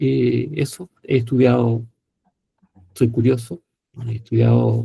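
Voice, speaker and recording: Speaking with a Chilean accent, a man at medium pitch has a dark, mellow, somewhat breathy tone and ordinary pitch variation. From Chile, provinces. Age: 60s. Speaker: psychiatrist and professor. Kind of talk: panel talk self-introduction. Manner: hesitant fillers.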